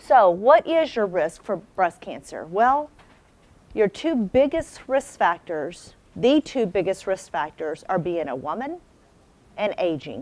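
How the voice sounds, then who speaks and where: A woman of medium pitch speaks loudly at a fairly slow pace. Her pitch swings very widely. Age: 40s. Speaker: breast surgeon. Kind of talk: health talk to audience. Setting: stage with audience.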